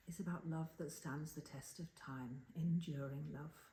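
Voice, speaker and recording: Soft-spoken and somewhat breathy, a woman speaks at a fairly slow pace and fairly low pitch with fairly even intonation, her tone calm, dark and mellow. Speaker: storyteller. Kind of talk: casual talk to listeners. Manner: soft-spoken, calm.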